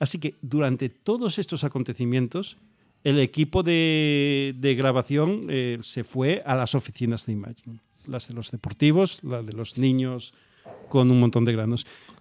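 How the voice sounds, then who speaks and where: A man talks in a plain, everyday voice at a medium pitch. His pace is fairly slow, with ordinary pitch variation. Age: 40s. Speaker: podcast co-host. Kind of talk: casual chat.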